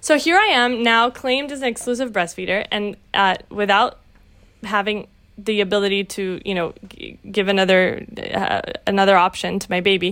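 In a very clean recording with a silent background, the speech moves at a moderate pace with ordinary pitch variation. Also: woman, medium pitch for a woman. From Brazil, raised in Latin America and the US. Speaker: tech nonprofit executive and new mother. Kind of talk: interview. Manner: halting.

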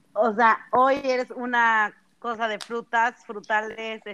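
A woman speaks in a bright, sharp tone. The sound is dry and close, with no echo. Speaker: podcast co-host. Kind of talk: casual chat.

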